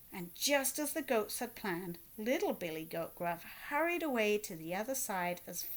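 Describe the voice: Lively intonation colors this plain reading aloud.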